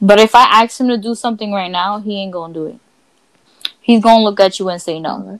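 A woman with a normal speaking voice and a medium pitch talks at a fairly quick pace, her intonation fairly even but her loudness swinging widely. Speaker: podcast host. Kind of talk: casual chat. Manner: casual, profane.

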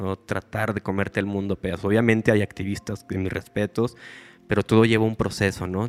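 With music in the background, a man's monotone, flat delivery comes through in a dry, close sound with no echo. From Mexico, Lerdo, Durango (Comarca Lagunera). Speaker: content creator on natural living and gardening. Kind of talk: casual interview chat.

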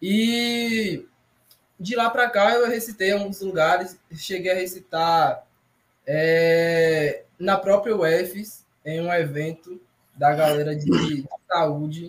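Very slowly, a man speaks at a high pitch. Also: ordinary pitch variation. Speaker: poet and short story writer. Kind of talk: casual chat.

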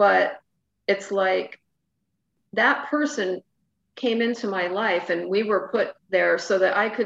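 With ordinary pitch variation, this is a normal speaking voice moving at a fairly slow pace. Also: woman. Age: 50s. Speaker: spiritual mentor and podcast host. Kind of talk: casual interview chat.

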